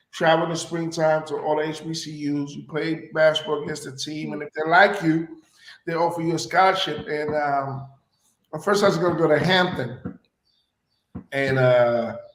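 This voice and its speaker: A man's fairly high voice at a moderate pace, with fairly even intonation, big swings in loudness and audible room echo. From Puerto Rico. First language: Spanish. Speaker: actor and radio personality. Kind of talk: interview.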